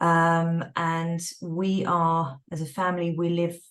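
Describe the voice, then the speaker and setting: This woman speaks with a London accent. Her pitch sits fairly low. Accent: British, London. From England, London. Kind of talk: online event talk.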